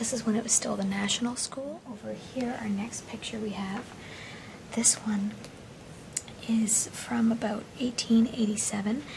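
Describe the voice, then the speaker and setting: A woman's fairly high voice, monotone and flat, broken by long, frequent pauses over noticeable background noise. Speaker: TV host. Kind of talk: TV history show presentation. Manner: quiet.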